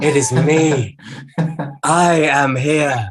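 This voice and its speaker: This is a put-on character voice with a low-to-middle pitch. It sounds breathy. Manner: theatrical, showy.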